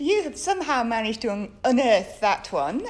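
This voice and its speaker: A woman's voice swings very widely in pitch. The room echo is audible. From northern England. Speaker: theatre director and academic. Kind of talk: interview. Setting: theatre stage. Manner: hesitant, many ums.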